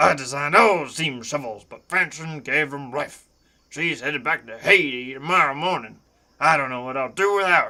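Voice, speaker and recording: Putting on a raspy character voice, a man speaks at a moderate pace and fairly high pitch, with big swings in loudness. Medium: game stream. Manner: curt, authoritative.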